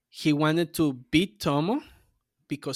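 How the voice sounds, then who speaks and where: Speaking at a fairly slow pace with fairly even intonation, a man with a fairly high pitch comes through in a very clean recording with a silent background and a dry, close sound with no echo. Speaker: anime podcast co-host. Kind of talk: casual chat.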